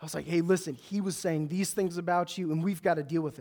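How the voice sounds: Speaking at a fast pace, a man uses a high pitch and a slightly mellow tone.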